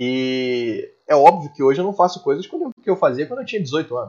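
A man with a high pitch talks at a moderate pace, his voice making very wide pitch swings. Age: 30s. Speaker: taekwondo instructor. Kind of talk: casual chat.

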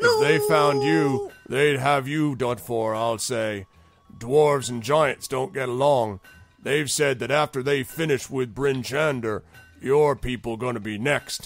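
At a fairly slow pace, the speaker performs in a put-on character voice. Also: man, medium pitch for a man. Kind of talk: comic roleplay voice. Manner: slow-witted, chatty, casually menacing.

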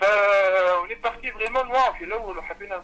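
A man's raised, projected voice, high in pitch and fairly quick in pace. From Tunisia. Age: young. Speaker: singer. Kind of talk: interview.

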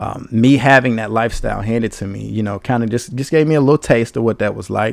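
Delivery is fairly quick, and the pitch varies in an ordinary way. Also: man. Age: 30s. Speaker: podcast host. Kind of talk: solo podcast monologue. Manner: casual, filler-heavy.

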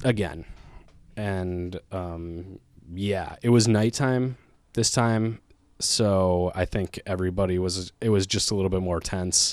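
A man's very deep, low voice in an Upper Midwest accent, at a very slow pace with fairly even intonation, on a very clean recording with a silent background. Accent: Upper Midwest American. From Minnesota, Twin Cities area. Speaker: stand-up comedian. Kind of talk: casual chat.

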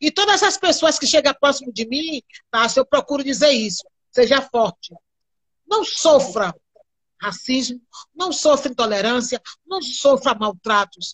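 Long, frequent pauses break up a woman's fairly slow speech. Her high pitch carries lively intonation. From Bahia, Brazil (quilombo near Candeias). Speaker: cultural activist and candomblé practitioner. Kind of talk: live-stream interview. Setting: video call live stream.

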